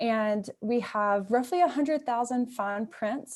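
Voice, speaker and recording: A woman speaks in a Mississippi accent at a fairly slow pace. Her pitch is fairly high, with lively intonation. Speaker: museum curator. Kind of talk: presentation. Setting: video call.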